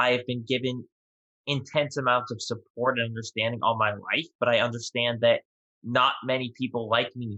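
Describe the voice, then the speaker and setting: A man with an American accent, medium in pitch, with monotone, flat intonation. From New York. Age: 20s. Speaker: podcast guest, merchandise founder. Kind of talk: interview.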